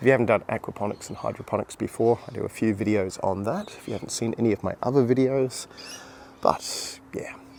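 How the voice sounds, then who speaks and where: A man speaks quietly against noticeable background noise. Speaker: gardening youtuber. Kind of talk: casual vlog walkthrough. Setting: outdoors in garden, early morning. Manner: rambling, conversational.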